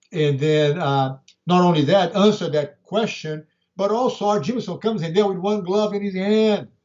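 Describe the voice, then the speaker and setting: Ordinary pitch variation with a Brazilian Portuguese accent. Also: man, high pitch for a man, moderate pace. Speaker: martial arts grandmaster. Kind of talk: interview.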